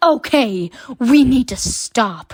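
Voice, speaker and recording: Using a put-on character voice, a woman speaks with a high pitch and lively intonation in a dry, close sound with no echo. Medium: read story. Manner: melodramatic.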